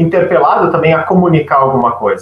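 This clip features a man talking. Noticeable background noise is present. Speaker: journalist and communication researcher. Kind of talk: radio interview.

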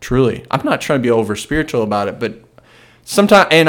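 Lively intonation marks this normal speaking voice. The recording is very clean, with a silent background. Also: man. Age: 20s. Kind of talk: solo monologue on faith and life. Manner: casual, with frequent fillers and self-corrections.

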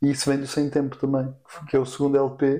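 A man speaks at a fairly quick pace with a European Portuguese accent and a dark, mellow tone. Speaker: singer-songwriter and producer. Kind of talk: casual chat.

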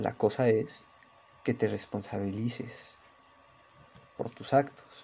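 With a Mexico City accent, a man speaks very slowly in a dark, mellow, somewhat breathy tone, leaving long, frequent pauses. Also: medium pitch for a man, fairly even intonation. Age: young. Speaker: podcaster. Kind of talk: casual monologue. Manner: monotone.

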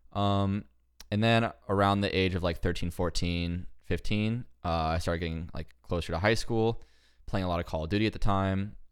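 In a very clean recording with a silent background, a man with a normal speaking voice and fairly low pitch talks at a moderate pace. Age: 20s. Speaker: esports cinematographer. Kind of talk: casual chat.

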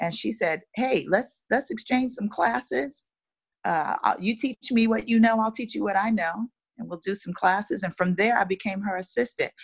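In an American accent, a woman with a fairly high pitch and vocal fry speaks at a moderate pace with lively intonation. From Chicago West Side, US. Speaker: backup singer and dancer, teacher. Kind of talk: casual interview chat.

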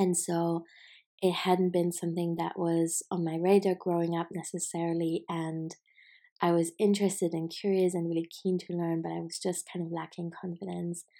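A woman with a German accent, a fairly low pitch and a dark, mellow tone, moderate in pace and monotone and flat in intonation, on a very clean recording with a silent background. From Germany, Hamburg. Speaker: podcast host, creative business mentor. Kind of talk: casual solo monologue.

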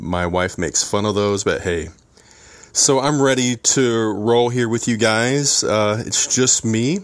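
Here a man speaks fairly slowly at a medium pitch. His loudness stays very even, and his pitch varies in an ordinary way. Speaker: podcast host and mentor to young men. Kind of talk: solo podcast monologue. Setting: home, seated with coffee. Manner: casual, conversational.

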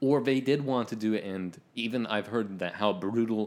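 A man with a Canadian accent speaks in an ordinary speaking voice at a moderate pace, his fairly low pitch showing ordinary variation. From rural Ontario, Canada. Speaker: podcast co-host. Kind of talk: casual chat.

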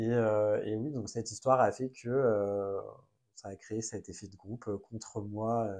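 The voice keeps a monotone, flat intonation, swings a lot in loudness and moves at a very slow pace. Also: man, fairly low pitch for a man. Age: 20s. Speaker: content creator. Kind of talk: personal testimony in a casual interview.

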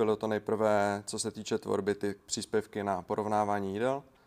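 Speech moves at a moderate pace. No sound intrudes, and the recording is very clean. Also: man. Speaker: podcast host. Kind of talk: casual interview.

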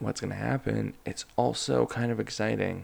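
A man speaks at a fairly slow pace with vocal fry. His voice carries a slightly husky edge.

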